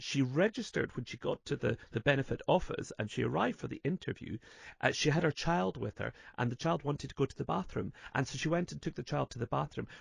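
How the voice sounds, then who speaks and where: Somewhat breathy, a man talks at a fairly quick pace, with a dry sound, no echo and a quiet background. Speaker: radio show host. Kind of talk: radio discussion commentary. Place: studio.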